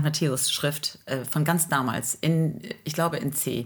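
This woman's voice sits very deep and low. Her intonation is fairly even. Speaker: teacher, singer and podcast co-host. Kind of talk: casual chat.

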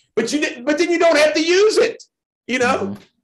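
A man's voice with very wide pitch swings. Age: 50s. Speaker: political candidate. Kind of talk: interview.

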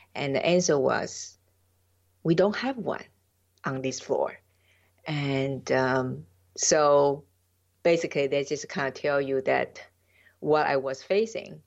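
Speaking at a very slow pace with long, frequent pauses, a woman talks in a Taiwanese accent. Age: 50s. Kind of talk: interview, personal story. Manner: halting, non-fluent.

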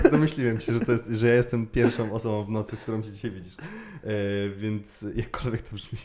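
A man with a normal speaking voice, medium pitch, fairly quick pace, fairly even intonation and big swings in loudness. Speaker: podcast host. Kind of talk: casual interview chat.

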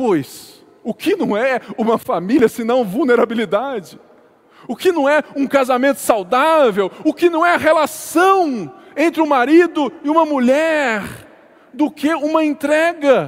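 Noticeable background noise surrounds a man with an extremely high pitch. He talks at a fairly slow pace with lively intonation. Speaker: pastor. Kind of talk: sermon.

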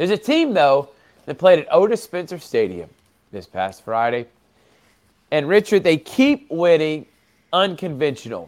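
A man's high-pitched voice at a moderate pace, with very wide pitch swings and long, frequent pauses. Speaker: sports broadcaster. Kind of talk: sports talk show.

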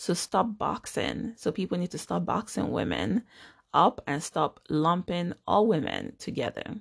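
Her pitch fairly low and touched with vocal fry, a woman speaks at a fairly slow pace with lively intonation, in a dry, close recording with no echo. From Nigeria. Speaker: podcast host, nurse practitioner and life coach. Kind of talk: motivational monologue.

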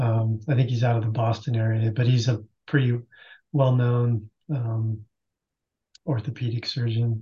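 A man with a medium-pitched, somewhat breathy voice and a dark, mellow tone speaks in a flat monotone. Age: 50s. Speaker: masters CrossFit athlete. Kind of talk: casual chat.

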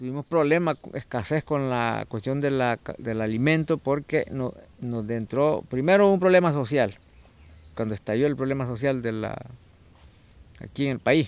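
In a Nicaraguan accent, a man talks at a fairly slow pace with a medium pitch and ordinary pitch variation. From Nicaragua, Pacific coast peninsula. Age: 50s. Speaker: fisherman. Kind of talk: interview testimony. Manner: halting, many repetitions.

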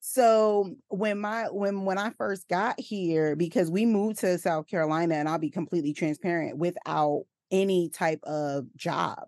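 A plain, everyday voice: a woman at a medium pitch and moderate pace, ordinary pitch variation, dry, close sound with no echo, quiet background. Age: 30s. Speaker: maternity nurse and perinatal coach. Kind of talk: casual interview chat.

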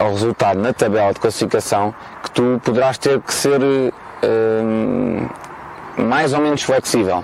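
The speech moves at a fairly slow pace with ordinary pitch variation over noticeable background noise. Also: man. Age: 30s. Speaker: football coach. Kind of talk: interview. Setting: outdoors in a park.

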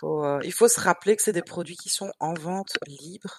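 Recorded with a dry, close sound and no echo over a quiet background, a woman speaks with ordinary pitch variation. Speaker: skincare blogger, podcast co-host. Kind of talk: casual chat.

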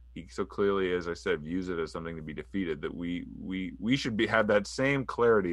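A man's very deep, low pitch with vocal fry, lively intonation and a fairly quick pace. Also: quiet background. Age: 30s. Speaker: political writer and author. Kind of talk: interview.

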